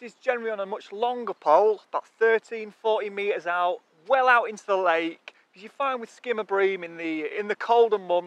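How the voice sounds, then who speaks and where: A man speaks at a high pitch. The sound is dry, with no echo. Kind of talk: tutorial. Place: waterside.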